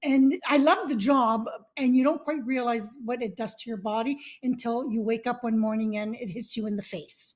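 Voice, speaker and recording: At a moderate pace, a woman with an unremarkable speaking voice speaks at a fairly high pitch with ordinary pitch variation. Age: 60s. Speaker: retired deli worker. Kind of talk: interview.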